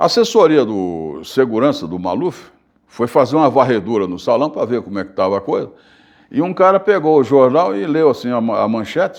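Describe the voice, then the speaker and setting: Over a quiet background, a man talks fairly quickly at a medium pitch with very wide pitch swings. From Bahia, Brazil. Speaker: journalist and radio broadcaster. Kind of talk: interview answer. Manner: casual storytelling.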